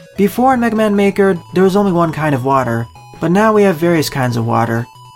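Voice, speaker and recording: The speech moves at a very fast pace, with music in the background. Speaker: video game commentator. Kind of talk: game commentary voice-over.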